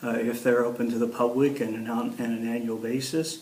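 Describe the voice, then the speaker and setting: A man of medium pitch with an American accent speaks amid noticeable background noise and audible room echo. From Ohio, US Midwest. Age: 60s. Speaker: local council candidate, magazine publisher. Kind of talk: editorial board interview. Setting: interview with editorial board. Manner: halting, many fillers and repeats.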